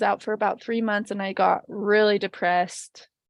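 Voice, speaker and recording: A woman talks with an American accent at a moderate pace. Her intonation is monotone and flat against a quiet background. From Utah. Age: 20s. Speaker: podcast guest sharing faith story. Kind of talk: personal testimony. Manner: halting, many fillers and restarts.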